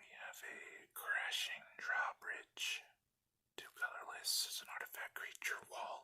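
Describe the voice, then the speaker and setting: Someone is whispering. The delivery is very slow. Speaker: ASMR creator. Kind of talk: ASMR card unboxing. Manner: whispered.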